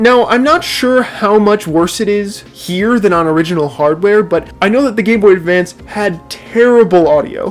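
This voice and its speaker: The pace of the talking is moderate. Behind it, music can be heard. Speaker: gaming YouTuber. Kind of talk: video commentary. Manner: animated.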